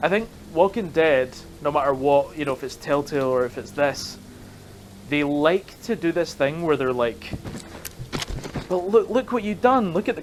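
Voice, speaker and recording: Long, frequent pauses break up speech at a moderate pace, over noticeable background noise. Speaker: gaming YouTuber. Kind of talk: gameplay commentary. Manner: casual, rambling with fillers.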